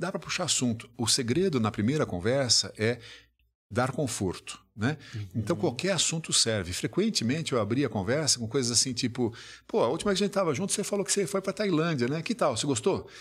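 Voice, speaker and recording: On a very clean recording with a silent background, a man speaks very fast at a fairly high pitch, somewhat breathy, with very wide pitch swings. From Brazil. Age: 60s. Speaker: business executive and author. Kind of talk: podcast interview.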